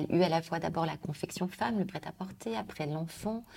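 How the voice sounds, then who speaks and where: With a dark, mellow tone, a woman talks using ordinary pitch variation. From France, Lyon. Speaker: director of a fashion business incubator. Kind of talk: interview. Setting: office. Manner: halting.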